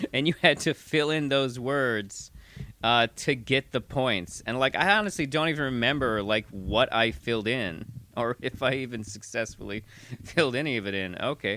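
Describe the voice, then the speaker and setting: An ordinary speaking voice carries lively intonation at a moderate pace. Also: man, medium pitch for a man. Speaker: improv comedian. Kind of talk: casual chat.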